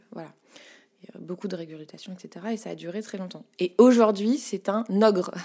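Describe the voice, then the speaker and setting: An ordinary speaking voice from a woman at medium pitch, moderately paced, with big swings in loudness. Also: ordinary pitch variation. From Paris, France. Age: 30s. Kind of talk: casual interview. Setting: home studio.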